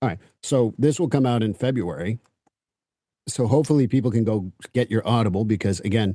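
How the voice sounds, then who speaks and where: A man speaks in a dark, mellow tone with ordinary pitch variation. Long, frequent pauses break his speech over a quiet background. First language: French. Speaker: podcast host. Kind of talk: interview. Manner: casual.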